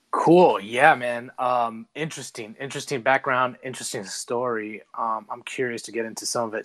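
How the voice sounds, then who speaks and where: At a moderate pace, a man talks in an ordinary speaking voice, medium in pitch with fairly even intonation, against a quiet background. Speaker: podcast host and men's coach. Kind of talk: interview conversation. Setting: online audio space.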